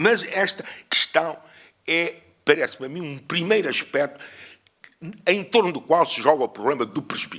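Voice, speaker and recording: With a bright, sharp tone, a man talks at a moderate pace, leaving long, frequent pauses, his loudness swinging widely and his pitch varying in an ordinary way. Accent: European Portuguese. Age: 70s. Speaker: historian. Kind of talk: conference lecture. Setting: conference with audience. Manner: hesitant, with fillers.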